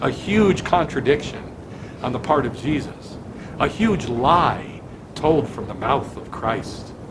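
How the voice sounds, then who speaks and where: A man speaks very slowly, his pitch fairly high and his intonation lively, with big swings in loudness. Noticeable background noise and audible room echo fill the recording. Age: 60s. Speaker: rabbi. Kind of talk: sermon. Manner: animated.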